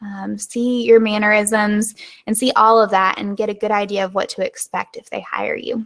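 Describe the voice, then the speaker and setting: The speaker is a woman with a Southern US accent. She talks at a moderate pace. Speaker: web designer and online business host. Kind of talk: live webinar. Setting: live video stream. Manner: informal.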